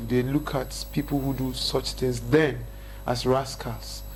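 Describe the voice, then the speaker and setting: A man talks with a northern Nigerian accent. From northern Nigeria, Kaduna State. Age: 30s. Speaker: hip-hop artist. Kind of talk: interview chat.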